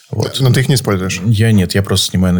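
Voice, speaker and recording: A man rattles along at a very fast pace with ordinary pitch variation, noticeable background noise behind him. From Saint Petersburg, Russia. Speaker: photographer. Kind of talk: casual interview. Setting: live stream.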